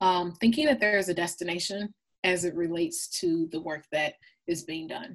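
A woman with an American accent and an unremarkable speaking voice talks at a moderate pace, fairly low in pitch with ordinary pitch variation. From Minnesota, Minneapolis suburbs. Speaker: equity consultant. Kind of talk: interview.

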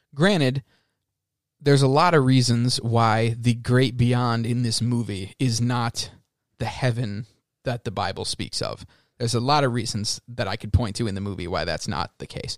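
With medium pitch and ordinary pitch variation, a man talks at a moderate pace in an ordinary speaking voice. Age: 20s. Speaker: podcast co-host and English teacher. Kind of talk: casual chat.

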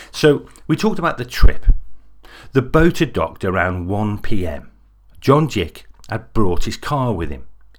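Over a silent background in a very clean recording, a man with vocal fry speaks at a moderate pace with very wide pitch swings. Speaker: podcast host and narrator. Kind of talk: true-crime narration, scripted. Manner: measured, serious storytelling with dramatic build-up.

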